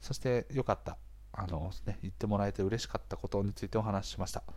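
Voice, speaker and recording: An unremarkable speaking voice from a man, fairly low in pitch, with ordinary pitch variation and a fairly quick pace. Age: 30s. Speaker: podcast host, freelancer. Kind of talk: casual monologue. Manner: chatty, frequent filler words and laughs.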